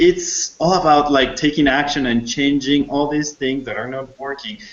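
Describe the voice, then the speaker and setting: At a moderate pace, a man with a non-native accent talks in a fairly high pitch. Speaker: program host, interviewer. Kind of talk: interview. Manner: halting.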